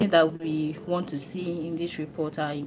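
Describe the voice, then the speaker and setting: A woman speaks quietly in a very deep, low pitch with monotone, flat intonation. Noticeable background noise runs underneath. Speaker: company executive. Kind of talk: training presentation.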